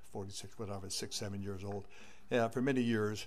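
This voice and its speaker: A man's medium-pitched voice with ordinary pitch variation and audible room echo. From Northern California. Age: 80s+. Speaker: public commenter. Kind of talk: public comment.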